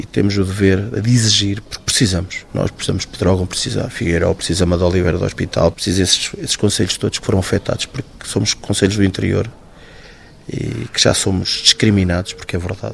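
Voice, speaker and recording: A man talks at a very fast pace. His pitch is very deep and low, with ordinary pitch variation. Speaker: firefighter, accident survivor. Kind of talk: interview testimony.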